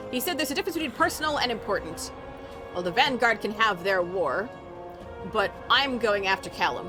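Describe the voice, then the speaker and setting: A woman with a fairly high pitch swings very widely in pitch at a fairly quick pace, leaving long, frequent pauses as music plays in the background. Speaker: game streamer. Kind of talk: reading quest text aloud while gaming.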